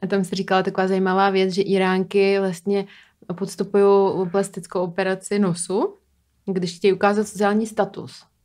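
This woman has a non-native accent and a medium pitch. She talks at a moderate pace against a quiet background. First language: not Czech (speaking Czech). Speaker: podcast host. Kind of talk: interview. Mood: curious, light and friendly. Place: studio. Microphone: studio mic.

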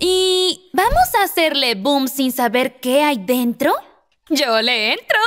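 A slow, cartoonish character voice in a Latin American accent, fairly bright in tone, with lively intonation. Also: woman, high pitch for a woman.

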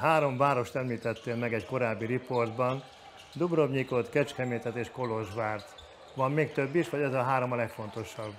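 Over light background noise, a man talks at a moderate pace with fairly even intonation. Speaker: sports TV presenter. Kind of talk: interview. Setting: studio. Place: studio. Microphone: lapel.

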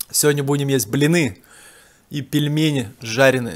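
A man talks at a fairly slow pace. Light background noise is audible. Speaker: home food vlogger. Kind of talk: casual vlog chat. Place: home room. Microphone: phone near.

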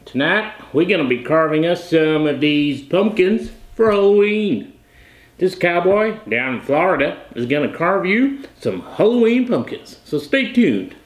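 A man speaks at a fairly slow pace, with audible echo in the room. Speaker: vlogger. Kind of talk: casual vlog chat. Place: home room. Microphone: camera far.

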